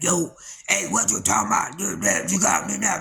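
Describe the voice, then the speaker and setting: A man uses a raspy, put-on character voice at a moderate pace. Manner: brash, playful.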